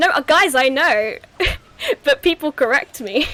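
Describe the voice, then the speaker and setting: With a southern English accent, a woman speaks in very wide pitch swings. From southeast England, home counties. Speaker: stream host. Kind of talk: casual chat.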